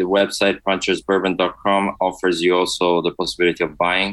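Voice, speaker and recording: Fairly quick speech in an Italian accent. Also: man. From Italy. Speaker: spirits industry executive. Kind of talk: casual interview.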